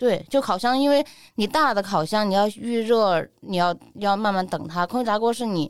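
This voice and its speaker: On a very clean recording with a silent background, a woman with medium pitch talks at a moderate pace in an animated tone with lively intonation. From Sichuan, Neijiang. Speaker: food and lifestyle blogger. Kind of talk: casual chat.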